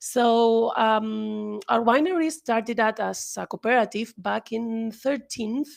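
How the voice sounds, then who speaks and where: A woman speaks with a Spanish accent. Her pace is very slow and her intonation fairly even. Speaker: winery sales manager. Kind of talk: presentation. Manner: halting.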